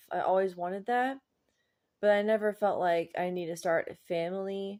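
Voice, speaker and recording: A woman speaks at medium pitch. Her intonation stays fairly even. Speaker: vlogger. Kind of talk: personal vlog monologue. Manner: slow; halting, pauses between words.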